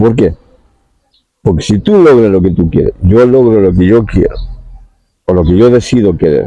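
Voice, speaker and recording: A man talks at a moderate pace in a fairly low, dark, mellow voice with ordinary pitch variation. His loudness stays very even, broken by long, frequent pauses. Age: 60s. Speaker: spiritual talk host. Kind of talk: monologue talk.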